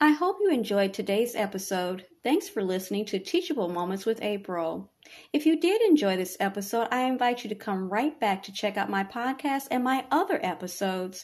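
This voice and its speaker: A woman with an unremarkable speaking voice talks at a fairly quick pace with hardly any pauses, her fairly high pitch carrying lively intonation. The recording is very clean, the background silent. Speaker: podcast host. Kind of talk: guided meditation. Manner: soft-spoken, measured, reassuring.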